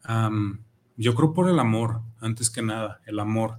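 In a very clean recording with a silent background, a man speaks at medium pitch with fairly even intonation and a somewhat breathy voice. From Mexico, Zapopan (Guadalajara area). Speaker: reggae musician, band leader. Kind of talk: casual interview. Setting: radio studio.

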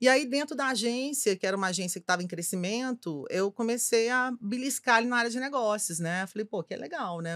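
Recorded close and dry with no echo, a woman talks with very wide pitch swings. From Belo Horizonte, Minas Gerais, Brazil. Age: 50s. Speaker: advertising executive. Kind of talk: casual chat.

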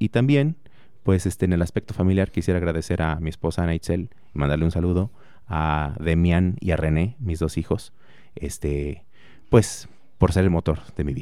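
A man's very deep, low voice, dark and mellow in tone, with ordinary pitch variation at a moderate pace. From Mexico, Morelia, Michoacán. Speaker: engineering professor and researcher. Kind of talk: radio interview.

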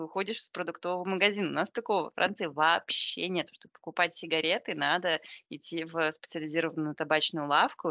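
Intonation is fairly even. The delivery is fairly quick. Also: woman. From Belarus. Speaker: podcast host. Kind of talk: casual chat. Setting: remote call from Paris.

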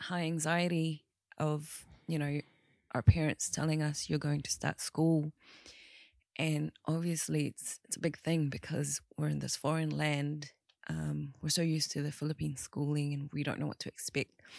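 With a quiet background, a woman talks at a moderate pace in a very deep, low pitch. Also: fairly even intonation, dry, close sound with no echo. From New Zealand, born in the Philippines. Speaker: podcast guest. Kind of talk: casual chat.

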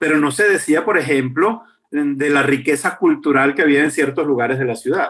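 This man talks at a fairly quick pace, his fairly high pitch showing ordinary variation. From Venezuela, Caracas. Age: 50s. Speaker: journalist and urban activist. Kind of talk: interview. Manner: frequent repetitions and hesitations.

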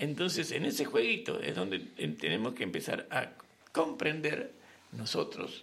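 A man speaks at a fairly slow pace. Audible room echo and noticeable background noise fill the recording. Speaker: radio host. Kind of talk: casual chat.

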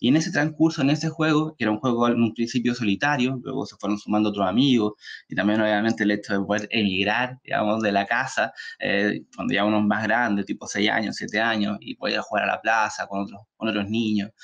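At a fairly quick pace, a man speaks. His pitch is medium, with ordinary variation. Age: 30s. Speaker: author. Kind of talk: talk. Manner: halting.

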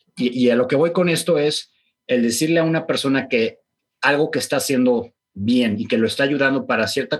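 On a very clean recording with a silent background, a man with a normal speaking voice talks at medium pitch and a moderate pace. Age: 40s. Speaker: keto diet practitioner and clinic owner. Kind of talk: interview conversation.

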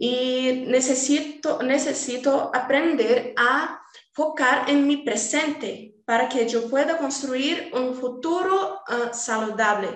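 A woman's high-pitched voice in a Portuguese accent, with audible room echo and music in the background. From Brazil, Rio de Janeiro. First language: Portuguese (speaking Spanish). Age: 20s. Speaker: design student. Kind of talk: casual chat.

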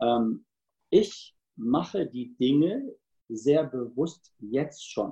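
A man with a fairly high pitch speaks at a very slow pace with lively intonation. His tone is dark, mellow and somewhat breathy. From Cologne, Germany. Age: 50s. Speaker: sales trainer and speaker. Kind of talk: interview.

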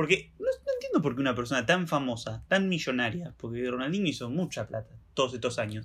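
In a Rioplatense accent, a man with a fairly high pitch talks at a fairly quick pace with lively intonation. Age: 20s. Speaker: podcast co-host. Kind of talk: casual chat.

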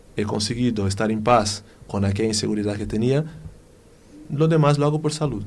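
Speaking at a moderate pace with a Brazilian accent, a man uses a fairly low pitch with ordinary pitch variation. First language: Portuguese (speaking Spanish). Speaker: physiotherapist. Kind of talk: casual chat. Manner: halting.

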